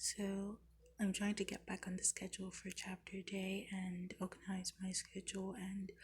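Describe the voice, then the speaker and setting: A woman talks at a fairly slow pace in a medium pitch. Vocal fry runs through her voice. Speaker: Bible study vlogger. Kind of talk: casual Bible chapter reflection. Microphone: bad audio.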